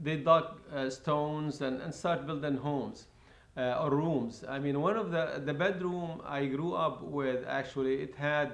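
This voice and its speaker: A man speaks fairly slowly with a fairly high pitch and fairly even intonation. Audible room echo and noticeable background noise are present. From Lebanon, Palestinian refugee camp. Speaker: refugee camp survivor. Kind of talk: oral history interview. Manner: halting, many fillers and repetitions.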